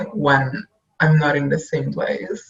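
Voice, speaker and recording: Somewhat breathy and fairly slow, a woman talks with an Italian accent and ordinary pitch variation. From Italy. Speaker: web designer. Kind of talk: casual chat.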